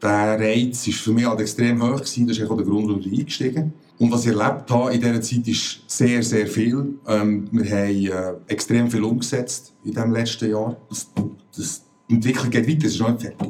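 In an unremarkable speaking voice, a man talks at a moderate pace, his medium pitch carrying fairly even intonation. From Switzerland, Bern. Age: 40s. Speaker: retail company CEO. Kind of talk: interview.

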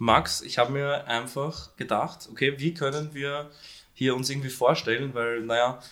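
A man with a normal speaking voice talks at a moderate pace and a fairly high pitch. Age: 20s. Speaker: podcast co-host. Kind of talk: casual chat. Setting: at home, recording in an apartment.

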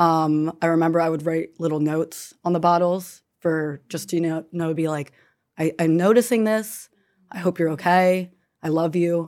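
A woman speaks in a normal speaking voice at a fairly low pitch and a moderate pace, with fairly even intonation. The recording is very clean, with a silent background. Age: 20s. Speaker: daughter of parent in recovery. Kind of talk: casual panel conversation.

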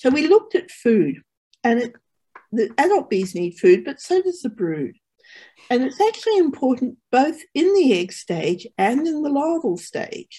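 In an Australian accent, a woman speaks with a high pitch and a dark, mellow tone. Her pitch swings very widely. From Sydney, Australia (born in England, emigrated at six). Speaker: mathematics professor. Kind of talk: interview with slide explanation. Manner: halting.

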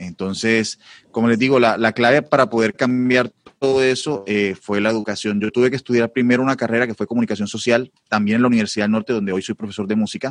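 Speaking at a very fast pace, a man uses a medium pitch and fairly even intonation in a dry, close sound with no echo. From Colombia. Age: 30s. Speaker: multi-instrumentalist and music teacher. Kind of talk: casual chat.

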